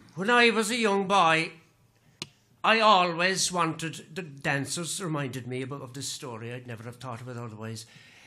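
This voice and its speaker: With music in the background, a man of fairly high pitch speaks at a moderate pace, his pitch swinging very widely and his loudness rising and falling in big swings. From Cork, Ireland. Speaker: storyteller, master of ceremonies. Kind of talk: traditional storytelling on stage. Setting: live concert stage.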